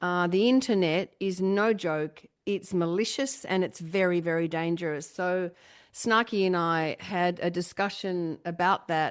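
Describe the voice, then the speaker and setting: A woman speaks in an unremarkable speaking voice at a fairly slow pace. Her pitch is fairly low, with ordinary variation. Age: middle-aged. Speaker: podcast host. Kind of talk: casual chat.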